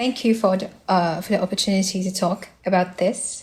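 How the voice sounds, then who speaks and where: A woman's somewhat breathy, medium-pitched voice at a moderate pace, with fairly even intonation and a non-native accent. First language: not English. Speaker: fundraiser organizer. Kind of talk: interview. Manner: halting, many fillers.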